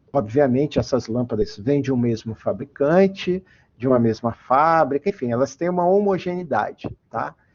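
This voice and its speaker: This is a man with a medium-pitched voice. He has an ordinary speaking voice. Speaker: engineer and metrology researcher giving a guest lecture. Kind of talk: online lecture. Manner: frequent fillers and repetitions. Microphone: voice cutting out, unstable connection.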